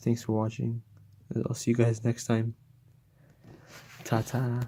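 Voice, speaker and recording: A man speaks quietly in a dark, mellow tone that is somewhat breathy. His intonation stays monotone and flat. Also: medium pitch for a man. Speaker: gaming YouTuber. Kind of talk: unscripted unboxing vlog. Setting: at home. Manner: halting, many fillers; speaking quietly.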